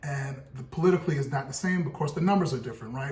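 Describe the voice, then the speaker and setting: This man's voice is fairly high, with ordinary pitch variation. The room echoes audibly, and background noise is noticeable. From US, Brooklyn, New York. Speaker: podcast co-host, real estate broker. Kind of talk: casual discussion.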